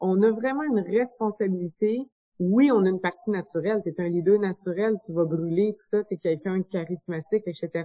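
In an unremarkable speaking voice, a woman at medium pitch talks at a fairly quick pace, with ordinary pitch variation and big swings in loudness. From Quebec, Bois-Francs region. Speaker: business founder. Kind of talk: interview.

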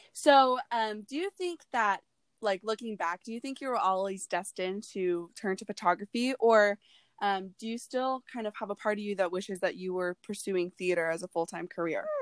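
A woman speaks at a medium pitch and a moderate pace, with ordinary pitch variation. Her voice sounds dry and close, with no echo. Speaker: podcast host. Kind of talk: casual interview. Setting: remote recording from home.

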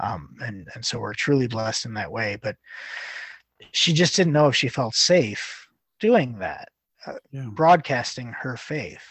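Somewhat breathy and fairly slow, a man speaks at a medium pitch with lively intonation and big swings in loudness. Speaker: Sunday school teacher. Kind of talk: casual chat.

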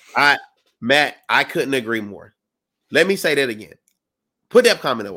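A man with an American accent speaks at a moderate pace in a bright, sharp tone with vocal fry, his pitch swinging very widely. His loudness also swings a lot, in a very clean recording with a silent background. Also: medium pitch for a man. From South Carolina. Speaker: sports podcast co-host. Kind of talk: casual chat.

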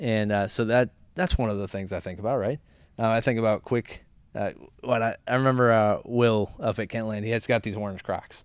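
A man with an American accent speaks at a fairly quick pace and medium pitch with fairly even intonation. It is an ordinary speaking voice on a very clean recording with a silent background. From Florida (Orlando). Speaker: podcast co-host, former fire truck manufacturer employee. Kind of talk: casual chat.

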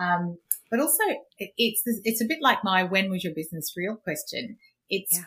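A woman talks at a fairly quick pace with lively intonation and a bright, sharp tone. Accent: Australian. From Australia, Queensland. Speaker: business finance coach and podcast host. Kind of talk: interview.

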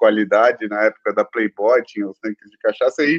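A man is talking here. His delivery is fairly quick. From São Paulo, Brazil. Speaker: entrepreneur. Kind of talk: interview.

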